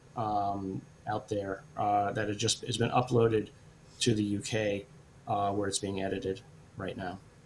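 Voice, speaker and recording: A man's somewhat breathy, fairly low voice, monotone and flat, at a fairly slow pace with long, frequent pauses. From Britain. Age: 60s. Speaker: professor and scientist. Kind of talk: interview Q&A. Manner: hesitant, many fillers.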